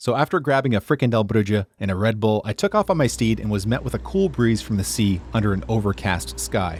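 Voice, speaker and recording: On a very clean recording with a silent background and a dry, close sound free of echo, a man with a fairly low pitch and vocal fry talks at a fairly quick pace, his pitch swinging very widely and hardly pausing. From North America. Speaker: travel and urbanism video creator. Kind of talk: scripted narration.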